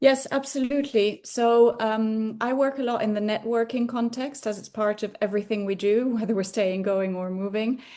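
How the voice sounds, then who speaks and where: A woman with a Dutch accent and fairly high pitch talks at a moderate pace with hardly any pauses and ordinary pitch variation. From Spain. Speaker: career coach and lecturer. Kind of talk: interview.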